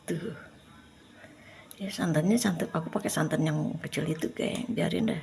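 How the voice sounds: A woman with a low pitch, vocal fry and a slightly mellow tone speaks at a moderate pace with ordinary pitch variation.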